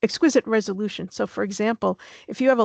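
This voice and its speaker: A woman's fairly quick speech with ordinary pitch variation, dry and close with no echo, in a quiet background. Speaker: scientific expert presenter. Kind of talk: webinar presentation. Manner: fast; hesitant, many fillers.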